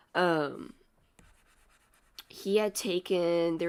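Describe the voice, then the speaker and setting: The speaker is soft-spoken. The delivery is very slow. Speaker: streamer. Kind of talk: casual chat. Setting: home livestream in small house. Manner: halting.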